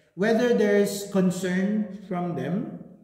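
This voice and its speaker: A man speaks very slowly, and audible room echo follows his words. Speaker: English language teacher. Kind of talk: class lesson, Taglish. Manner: sounds angry when speaking.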